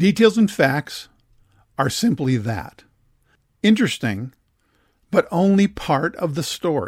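Speaking at a fairly slow pace with long, frequent pauses, a man uses a high pitch with very wide swings, in a dry, close sound with no echo. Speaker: podcast host guiding memoir writing. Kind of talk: scripted narration.

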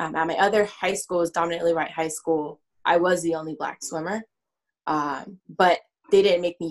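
A woman with an American accent talks at a fairly quick pace and fairly low pitch, with fairly even intonation and a plain, everyday voice. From Southern California. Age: 20s. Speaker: sports psychology consultant. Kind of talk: podcast interview.

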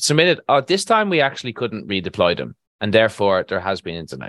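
A man with an Irish accent speaks at a very fast pace and medium pitch, his pitch swinging very widely. The sound is dry and close with no echo, over a quiet background. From Ireland, Galway. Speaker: construction contracts consultant. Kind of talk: casual interview.

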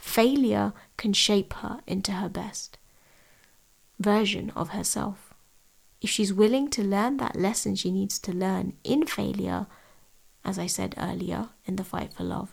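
A woman with a London accent speaks at a fairly slow pace. Her speech has long, frequent pauses. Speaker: podcast host and tutor. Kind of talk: solo podcast talk.

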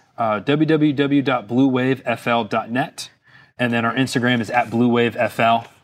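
Heard against a quiet background, the speaker has a plain, everyday voice with an American accent. The intonation is fairly even. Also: man, medium pitch for a man, moderate pace. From Florida (Fort Lauderdale). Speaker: business owner of boat cleaning products. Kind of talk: interview.

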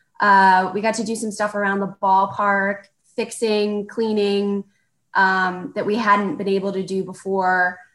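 Speaking slowly and in a flat monotone, a woman at medium pitch talks with an American accent. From Texas, Corpus Christi. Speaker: minor league baseball executive. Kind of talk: interview.

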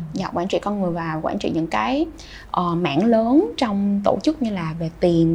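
A woman talks with very wide pitch swings and a somewhat breathy sound. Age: 20s. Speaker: youth organization leader. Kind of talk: interview.

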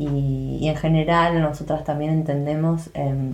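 With an Argentine accent, a woman speaks at a very deep, low pitch amid audible room echo. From Buenos Aires, Argentina. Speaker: podcast co-host, health coach. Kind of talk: casual chat.

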